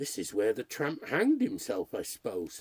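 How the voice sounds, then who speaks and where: A man's put-on character voice at a moderate pace. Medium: read story. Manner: brisk, confident.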